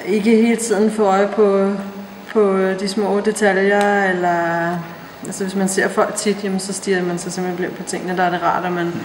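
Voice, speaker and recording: Through noticeable background noise and audible room echo, a woman speaks at medium pitch and a moderate pace with monotone, flat intonation. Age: 30s. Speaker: personal trainer and fitness competitor. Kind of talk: interview.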